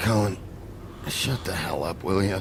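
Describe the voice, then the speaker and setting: A man's put-on character voice, fairly low in pitch, at a moderate pace over loud background noise. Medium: video game. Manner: gruff, terse.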